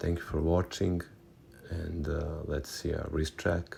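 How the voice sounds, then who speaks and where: With a non-native accent, a man speaks at a moderate pace in a very deep, low voice that is dark, mellow and somewhat breathy, his intonation monotone and flat. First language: not English. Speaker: watch-building YouTuber. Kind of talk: tutorial. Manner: casual, slightly halting.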